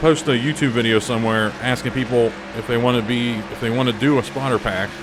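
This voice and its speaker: Fairly quick speech from a man at a medium pitch over noticeable background noise. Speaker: racing game video creator. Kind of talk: casual chat. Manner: halting, many fillers.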